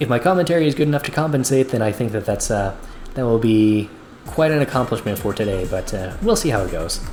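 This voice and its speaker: Very fast, lively speech from a man at medium pitch, with music in the background. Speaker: video game streamer. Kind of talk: live gameplay commentary. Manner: calm, soft-spoken; halting.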